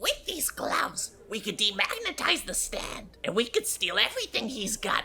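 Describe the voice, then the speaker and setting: A high-pitched put-on character voice at a moderate pace, with clear background noise. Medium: actual play. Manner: shifty, defensive, easily worked up.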